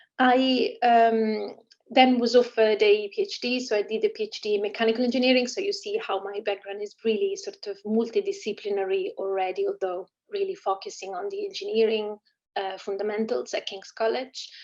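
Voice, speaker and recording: A woman talks with an Italian accent. Her pace is fairly quick. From Italy. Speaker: engineering professor. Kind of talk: online lecture. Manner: hesitant with fillers.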